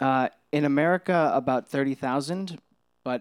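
Pitch moves in an ordinary way. With no echo, the sound is dry and close. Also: man. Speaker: campus minister. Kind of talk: interview through an interpreter in church. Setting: church service. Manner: hesitant, many ums.

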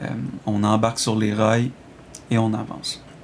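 Noticeable background noise sits behind a man speaking at a fairly slow pace. His pitch is medium. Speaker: video game reviewer. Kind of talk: recorded review reading.

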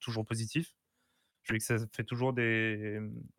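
Over a very clean recording with a silent background, a man talks at a fairly slow pace with a medium pitch. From Portuguese heritage. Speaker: guest panelist. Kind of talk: casual chat.

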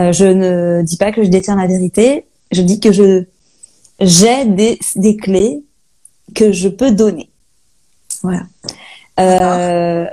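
At a very slow pace with long, frequent pauses, a woman speaks in a dark, mellow tone at medium pitch with fairly even intonation. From Brittany, Saint-Malo. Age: 30s. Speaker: holistic guide and medium. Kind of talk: interview. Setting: Instagram live video call.

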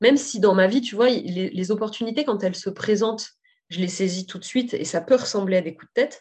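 Somewhat breathy, a woman talks at a fairly quick pace with big swings in loudness. Her pitch is medium, with ordinary variation. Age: 30s. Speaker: saddle fitter and business owner. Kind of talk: casual interview.

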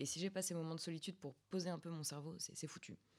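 This woman, speaking in a normal speaking voice, keeps a fairly low pitch and fairly even intonation. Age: 20s. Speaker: student podcast host. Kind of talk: casual chat.

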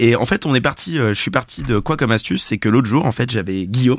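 Against a silent background, the recording is very clean. A man speaks very fast, his intonation lively. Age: 20s. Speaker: office colleague presenting podcast apps. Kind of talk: casual chat.

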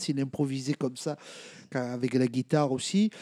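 A man's dark, mellow tone unfolds at a very slow pace. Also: dry, close sound with no echo. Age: 40s. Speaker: jazz accordionist. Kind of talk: casual chat. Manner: halting.

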